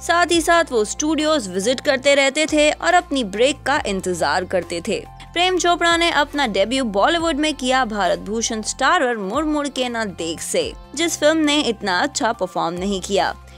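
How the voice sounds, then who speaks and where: Over music in the background, a woman with a high pitch talks with hardly any pauses and very wide pitch swings. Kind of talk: biography narration.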